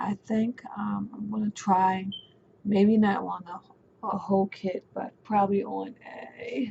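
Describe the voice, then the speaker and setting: A somewhat breathy woman's voice, medium-pitched, with ordinary pitch variation. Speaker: doll reborning vlogger. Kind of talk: casual vlog talk. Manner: hesitant, many fillers.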